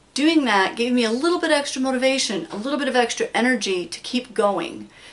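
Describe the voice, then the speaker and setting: Speaking at a very fast pace, a woman with a high voice uses lively intonation over noticeable background noise. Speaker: crafts channel host. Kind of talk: casual tutorial. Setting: craft room at home.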